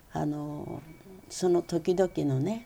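A woman speaks with a dark, mellow tone. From Tokyo, Japan. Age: 80s+. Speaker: blind calligrapher. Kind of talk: interview. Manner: halting with fillers.

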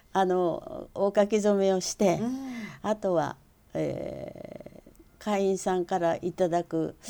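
At a very slow pace, a woman speaks at a medium pitch with ordinary pitch variation and a dark, mellow tone. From Tokyo, Japan. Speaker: calligrapher. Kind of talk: interview.

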